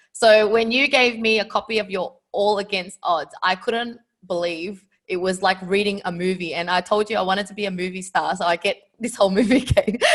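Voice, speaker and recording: At a fairly quick pace, an ordinary speaking voice delivers its words with fairly even intonation. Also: woman, medium pitch for a woman. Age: 30s. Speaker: podcast host. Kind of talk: interview.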